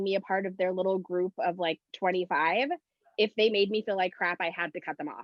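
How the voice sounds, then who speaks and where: Here a woman talks in a normal speaking voice at a medium pitch. Her pace is fairly quick, with ordinary pitch variation. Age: 30s. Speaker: talk show co-host. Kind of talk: casual chat.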